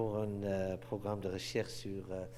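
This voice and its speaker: Audible room echo surrounds a man whose pitch sits fairly low. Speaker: anthropology professor. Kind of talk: lecture. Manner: halting, many hesitations.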